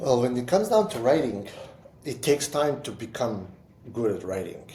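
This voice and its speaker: A somewhat breathy man with a non-native accent, a medium pitch and a dark, mellow tone, at a moderate pace with very wide pitch swings and big swings in loudness, in audible room echo. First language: not English. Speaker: entrepreneur and writer. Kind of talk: casual chat. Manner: halting, with repetitions.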